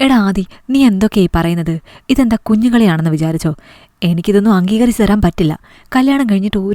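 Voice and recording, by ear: Lively intonation throughout, from someone reading aloud in a natural voice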